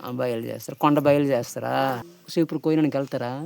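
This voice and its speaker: Ordinary pitch variation marks a man's unremarkable speaking voice, pitched fairly high. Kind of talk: interviewer, casual village interview.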